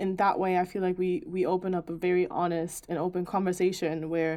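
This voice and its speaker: Over a silent background on a very clean recording, a woman's dark, mellow tone sits at medium pitch with fairly even intonation. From Germany. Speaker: podcast co-host. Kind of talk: casual chat.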